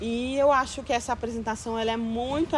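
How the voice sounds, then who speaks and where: Over noticeable background noise, a woman talks in a fairly high register. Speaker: visual artist. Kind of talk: documentary interview. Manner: talkative.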